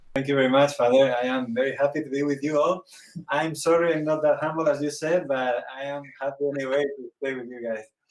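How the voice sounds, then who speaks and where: A man's fairly high, monotone, flat voice with a Spanish accent at a very fast pace. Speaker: priest and theologian. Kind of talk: interview. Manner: halting, searching for words.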